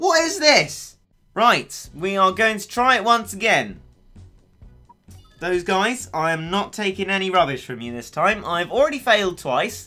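Music is playing behind the voice. The delivery is fairly slow. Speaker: video game commentator. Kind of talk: casual gameplay commentary.

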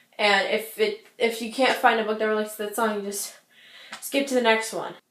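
Audible room echo surrounds a woman talking at a fairly quick pace in a fairly high pitch with monotone, flat intonation. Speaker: booktuber; book vlogger. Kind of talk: casual vlog. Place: home room. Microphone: webcam.

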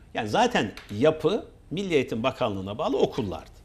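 A man speaks with very wide swings in pitch and a vocal fry. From Turkey, Samsun Ladik; Turkey. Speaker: associate professor. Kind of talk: casual interview chat. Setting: TV studio. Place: studio. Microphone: lapel.

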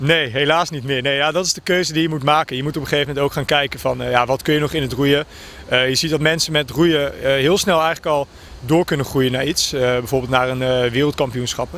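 The sound is dry with no echo and light background noise. A man talks fairly quickly with fairly even intonation. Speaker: student rower. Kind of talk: interview. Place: waterside. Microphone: handheld.

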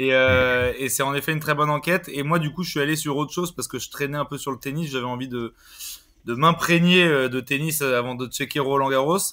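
Fairly quick and fairly even in intonation, a man speaks at a fairly high pitch in a plain, everyday voice. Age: 20s. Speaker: football podcast host. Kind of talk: casual chat; scripted narration.

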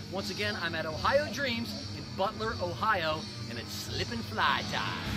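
A fairly slow-paced man, clear music in the background. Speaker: ring announcer. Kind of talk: casual talk to camera. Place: waterside. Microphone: phone near.

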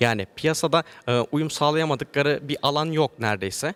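A man with a medium pitch speaks at a fairly quick pace with ordinary pitch variation, in a very clean recording, dry and close with no echo and a silent background. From Turkey, Antalya. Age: 20s. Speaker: agricultural engineer and IT business owner. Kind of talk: interview. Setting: event venue, hotel. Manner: hesitant, many fillers.

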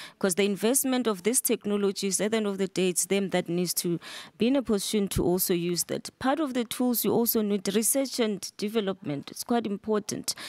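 A woman with a dark, mellow tone speaks at a medium pitch and a fairly quick pace, with ordinary pitch variation and hardly any pauses, the sound dry with no echo over a quiet background. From South Africa. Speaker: government deputy minister. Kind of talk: panel discussion. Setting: conference stage with audience. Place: hall. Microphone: podium.

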